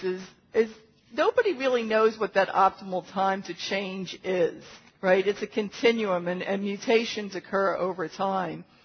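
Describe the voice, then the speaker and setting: Noticeable background noise is present throughout. A woman talks over it. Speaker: physician lecturer. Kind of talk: medical lecture. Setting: conference room with audience.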